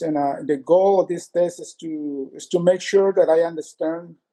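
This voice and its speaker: A man's high-pitched voice, dark and mellow in tone, flat and monotone, recorded dry and close with no echo. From Latin America. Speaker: consumer giving a complaint review. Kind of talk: interview testimony. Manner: halting, many fillers and restarts.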